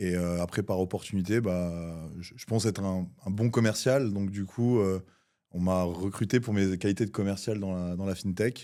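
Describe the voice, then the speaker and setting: A man speaks in a dark, mellow tone at a fairly low pitch with fairly even intonation. The recording is very clean, with a silent background. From southern France, near Cannes. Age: 30s. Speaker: entrepreneur. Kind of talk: podcast interview. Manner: hesitant, many fillers.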